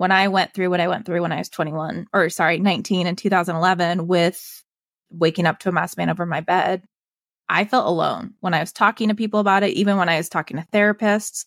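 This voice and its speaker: A woman with a General American accent speaks at a fairly quick pace in an unremarkable speaking voice, medium in pitch with ordinary pitch variation. The recording is very clean and dry, close with no echo, over a silent background. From Colorado. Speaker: health and wellness coach. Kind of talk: interview testimony.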